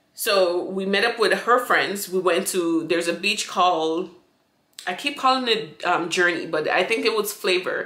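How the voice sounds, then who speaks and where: A woman's voice carries audible room echo against a quiet background. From St. Vincent. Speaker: YouTuber; vlogger. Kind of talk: storytime monologue. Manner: casual, rambling with many fillers. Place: home room. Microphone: phone near.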